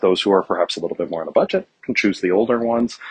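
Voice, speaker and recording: Ordinary pitch variation from a man, with a quiet background. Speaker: economics teacher. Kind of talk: lecture. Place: hall. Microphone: earbuds.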